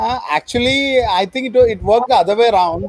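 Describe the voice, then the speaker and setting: A man with a Keralan accent speaks with ordinary pitch variation over noticeable background noise. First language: Malayalam. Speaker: author. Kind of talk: interview.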